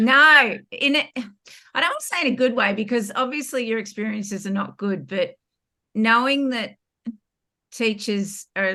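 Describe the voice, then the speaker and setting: A woman speaks at a moderate pace in an Australian accent, her pitch fairly high with ordinary variation, and she takes long, frequent pauses. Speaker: former teacher. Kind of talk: interview testimony.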